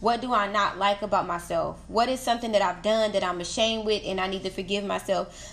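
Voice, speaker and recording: A woman at a fairly high pitch and fairly quick pace, with fairly even intonation over noticeable background noise. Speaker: podcast host. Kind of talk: casual monologue.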